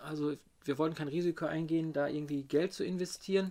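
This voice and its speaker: With fairly even intonation, a man talks in a fairly high pitch. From Ruhr area, Germany. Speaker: rapper and beat producer. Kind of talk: casual interview. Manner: halting.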